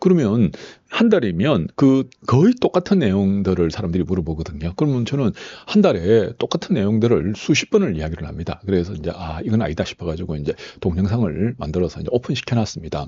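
At a fairly quick pace, a man talks with lively intonation in a fairly low pitch. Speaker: saju fortune-telling teacher and software seller. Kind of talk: tutorial. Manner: hesitant, frequent filler sounds.

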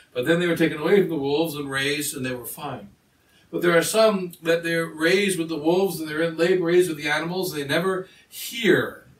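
Speaking at a fairly quick pace, this man has a high pitch and ordinary pitch variation. Audible room echo surrounds his voice. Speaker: priest. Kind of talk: sermon. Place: home room. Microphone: camera far.

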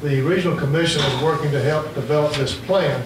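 Audible room echo surrounds a man's fairly high-pitched voice. He moves at a fairly quick pace with ordinary pitch variation.

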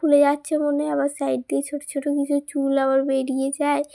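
A woman with a high pitch and a dark, mellow tone is heard in a dry, close sound with no echo. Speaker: lifestyle vlogger. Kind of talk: casual vlog narration.

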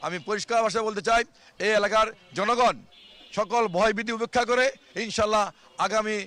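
With a raised, projected voice, a man speaks at a high pitch and fairly even intonation. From Bangladesh, Dhaka. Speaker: independent parliamentary candidate. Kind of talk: campaign speech to reporter.

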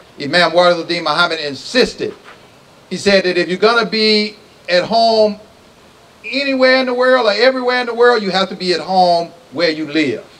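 With an American accent and a high pitch, a man talks at a fairly quick pace over noticeable background noise. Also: lively intonation. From US South. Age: 60s. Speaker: imam. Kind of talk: speech. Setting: stage with audience.

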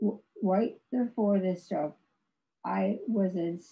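At a very slow pace, a woman speaks with a somewhat breathy voice and ordinary pitch variation. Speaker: stroke survivor and author, former professor. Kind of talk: prepared personal testimony presentation. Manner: halting, effortful speech due to aphasia. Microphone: video call.

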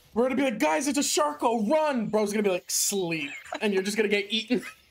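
Very fast speech runs over noticeable background noise. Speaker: gaming streamer. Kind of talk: casual gaming chat. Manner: animated.

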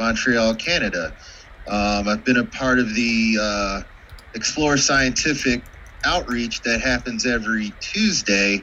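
This is an ordinary speaking voice: a man at medium pitch with ordinary pitch variation, talking at a fairly slow pace over light background noise. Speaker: astronomy club board member. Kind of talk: club business meeting. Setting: video call. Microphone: video call.

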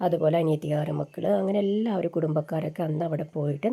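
A woman's fairly low, somewhat breathy voice with a dark, mellow tone and ordinary pitch variation. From Kerala, Kasaragod district. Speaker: vlogger. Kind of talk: casual vlog narration.

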